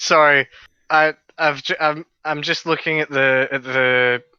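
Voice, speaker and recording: A Scottish accent over a quiet background. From Scotland. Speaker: podcast co-host. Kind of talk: casual chat.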